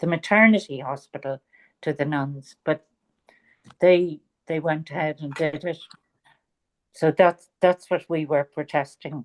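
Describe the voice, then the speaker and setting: In a Dublin accent, the speaker goes at a fairly slow pace with fairly even intonation and long, frequent pauses, in a dry, close sound with no echo. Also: woman, very deep, low pitch for a woman. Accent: Irish, Dublin. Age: 70s. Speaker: author. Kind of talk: interview.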